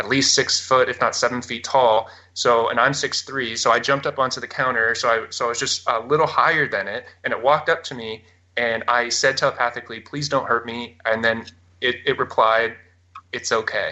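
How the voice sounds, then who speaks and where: A man talks at a fairly quick pace. He speaks with a Canadian accent. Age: 20s. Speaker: abduction experiencer. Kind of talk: interview testimony. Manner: halting, many fillers.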